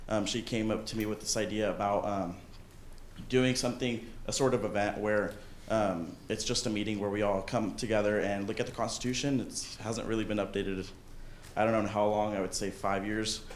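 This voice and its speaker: There is audible room echo as a man with a fairly low pitch delivers his lines at a fairly quick pace in a monotone, flat intonation. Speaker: student body president. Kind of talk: meeting report. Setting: student government meeting.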